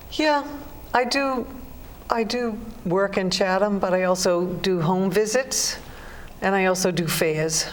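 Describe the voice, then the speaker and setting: A woman's medium-pitched voice at a fairly slow pace, with long, frequent pauses, ordinary pitch variation and very even loudness, plus audible room echo and noticeable background noise. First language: Irish Gaelic. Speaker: psychic. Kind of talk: interview.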